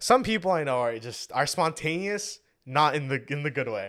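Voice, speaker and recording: A man at fairly high pitch, animated and bright and sharp in tone, with lively intonation, a moderate pace and a very clean recording against a silent background. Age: young. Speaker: podcast co-host, college student. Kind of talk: casual chat.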